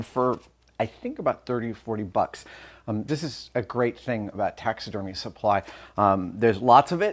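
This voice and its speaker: A man's voice with ordinary pitch variation. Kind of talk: casual tutorial vlog chat. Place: workshop. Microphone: lapel.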